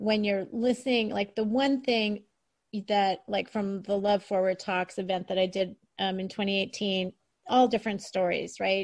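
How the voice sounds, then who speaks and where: A woman keeps a moderate pace and fairly even intonation in an ordinary speaking voice. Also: medium pitch for a woman. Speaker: podcast host and author. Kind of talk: podcast interview conversation.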